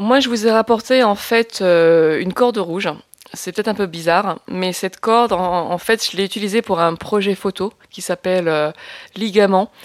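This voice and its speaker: In a very clean recording with a silent background and a dry, close sound with no echo, a woman speaks at a moderate pace with a medium pitch and ordinary pitch variation. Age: 40s. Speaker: filmmaker and activist. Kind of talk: testimony. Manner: hesitant, many fillers and repetitions.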